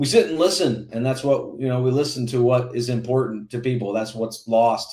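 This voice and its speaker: At a fairly quick pace, a man with an American accent talks in a normal speaking voice, medium in pitch with fairly even intonation. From Indiana. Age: 40s. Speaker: congressional candidate. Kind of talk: interview on a political podcast.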